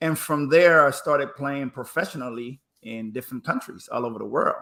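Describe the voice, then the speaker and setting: This man sounds energetic, with a bright, sharp tone and a fairly high pitch. He talks at a fairly quick pace with ordinary pitch variation and a slight Spanish accent. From Panama. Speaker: former pro basketball player, speaker. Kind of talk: interview storytelling. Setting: live stream.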